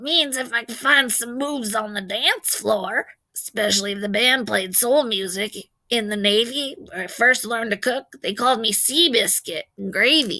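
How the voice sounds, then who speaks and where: A woman's raspy, put-on character voice with ordinary pitch variation. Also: fairly high pitch for a woman, moderate pace. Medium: read story. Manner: warm, joking.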